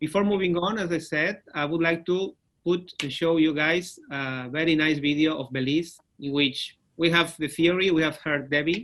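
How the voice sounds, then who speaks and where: Here is a man with an ordinary speaking voice and a fairly high pitch. He talks at a moderate pace with fairly even intonation. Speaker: webinar moderator. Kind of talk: webinar presentation.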